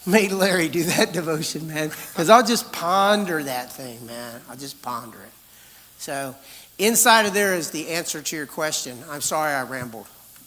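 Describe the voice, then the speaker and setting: With audible room echo and noticeable background noise, a man talks at a moderate pace, his intonation lively and his loudness swinging widely. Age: 60s. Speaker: pastor. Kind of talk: conference talk, Q&A answer. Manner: animated.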